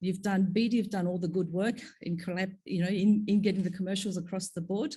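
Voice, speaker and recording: A woman with an Australian accent, dark and mellow in tone, somewhat breathy, at a fairly quick pace against a quiet background. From Australia (Sydney), moved from Korea at ten. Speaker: pharma executive, panel speaker. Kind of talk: conference panel talk.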